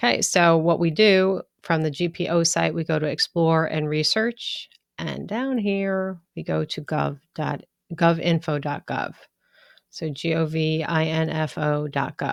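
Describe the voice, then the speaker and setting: Recorded very cleanly against a silent background, a woman with a fairly low pitch speaks at a fairly slow pace in an unremarkable speaking voice. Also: ordinary pitch variation. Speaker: law instructor. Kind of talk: lecture.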